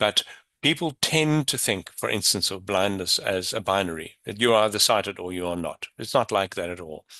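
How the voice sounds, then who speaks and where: Against a quiet background, a man's fairly low voice carries a bright, sharp tone and lively intonation, with a dry, close sound and no echo. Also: moderate pace. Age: 60s. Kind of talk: panel discussion.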